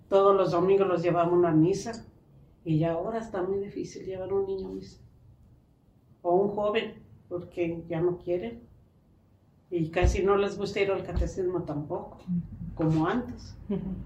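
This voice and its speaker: A woman's dark, mellow tone at a medium pitch, with fairly even intonation, a moderate pace, long, frequent pauses and audible room echo. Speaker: interviewed grandmother. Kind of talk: interview answers.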